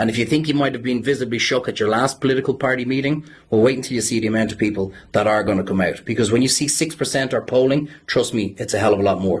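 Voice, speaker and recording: With an Irish accent, a man talks at a very fast pace. His voice is somewhat breathy. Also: medium pitch for a man, ordinary pitch variation, hardly any pauses. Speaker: campaigner. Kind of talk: press conference speech.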